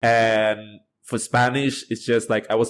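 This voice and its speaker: This man's voice is medium in pitch. His intonation is monotone and flat. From Thailand. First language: Thai. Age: 20s. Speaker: university student, polyglot. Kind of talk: podcast interview.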